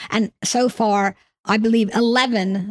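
In a New York accent, a woman speaks with monotone, flat intonation. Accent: New York American, noticeable. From New York, US. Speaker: insurtech trade body CEO. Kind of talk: interview.

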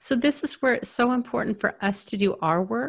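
A woman with vocal fry talks at a moderate pace, her pitch swinging very widely. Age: 50s. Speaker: therapist and coach for highly sensitive people. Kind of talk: interview. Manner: animated.

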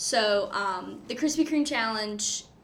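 Fairly high pitch from a woman, with audible room echo around it. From eastern North Carolina (Goldsboro). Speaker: student race director. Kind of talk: casual interview.

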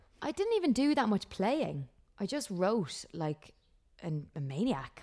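A woman speaks with an Irish accent. Her pace is moderate. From Ireland. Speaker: country singer-songwriter. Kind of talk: casual interview chat. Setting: remote call from home.

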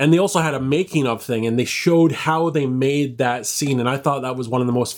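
Hardly pausing, a man talks at a fairly quick pace in a plain, everyday voice with medium pitch and ordinary pitch variation. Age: 30s. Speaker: podcast co-host and producer. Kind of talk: casual chat.

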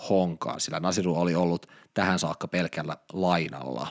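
A man with a Finnish accent talks at a fairly quick pace in a very deep, low voice. The recording is very clean, with a silent background. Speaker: podcast host. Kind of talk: scripted intro; interview. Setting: studio.

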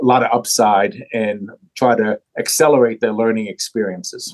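A man speaks in an unremarkable speaking voice. The sound is dry and close with no echo, and his pitch varies in an ordinary way. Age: 60s. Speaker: bank CEO. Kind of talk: interview.

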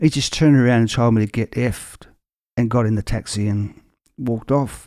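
With an Australian accent, a man speaks at a moderate pace in a dark, mellow tone of medium pitch with ordinary pitch variation. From Australia, Victoria (Werribee). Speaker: singer-songwriter. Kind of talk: casual interview chat. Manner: halting, many fillers and repeats.

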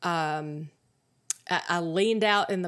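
At a fairly slow pace, a woman talks in an ordinary speaking voice with fairly low pitch, captured on a very clean recording against a silent background. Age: 50s. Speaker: podcast host. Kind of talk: solo podcast monologue. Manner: casual, laughs often.

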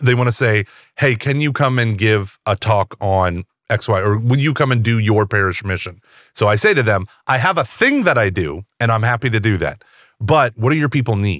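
In a dry, close sound with no echo, a man with a plain, everyday voice speaks at a medium pitch and moderate pace with ordinary pitch variation. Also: very clean recording, silent background. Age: 40s. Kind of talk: casual interview chat.

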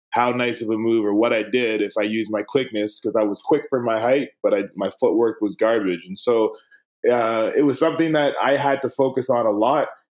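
A man with a plain, everyday voice and a Canadian accent talks fairly quickly at a medium pitch, with ordinary pitch variation. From Canada, Winnipeg, Manitoba. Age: 30s. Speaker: former pro basketball player and coach. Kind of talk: casual interview.

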